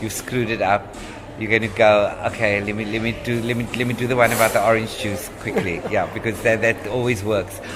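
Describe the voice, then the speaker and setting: There is noticeable background noise as a man talks at a fairly quick pace. His pitch is medium and his intonation monotone and flat. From Cape Town, South Africa. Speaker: stand-up comedian. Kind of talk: podcast interview answer.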